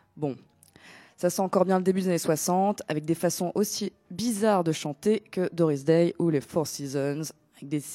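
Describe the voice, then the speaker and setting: A woman speaks at a moderate pace with a fairly low pitch and ordinary pitch variation. Music plays in the background, and the sound is dry and close with no echo. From Greece. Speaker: DJ. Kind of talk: casual chat. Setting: studio.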